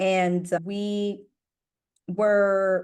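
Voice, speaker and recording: An American accent against a quiet background. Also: woman. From Jamaica, then Newark, New Jersey. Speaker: emergency medicine physician. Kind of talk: podcast interview. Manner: animated.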